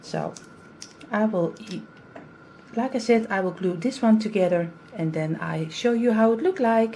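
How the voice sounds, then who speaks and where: Speaking in a Dutch accent at a fairly high pitch, a woman talks at a fairly slow pace with lively intonation and long, frequent pauses. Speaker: craft youtuber. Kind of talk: tutorial. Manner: halting.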